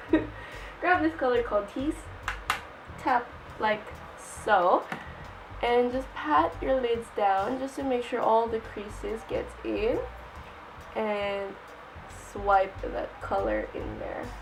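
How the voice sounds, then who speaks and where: Amid noticeable background noise, a woman speaks with long, frequent pauses. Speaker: makeup tutorial creator. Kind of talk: casual tutorial talk to camera.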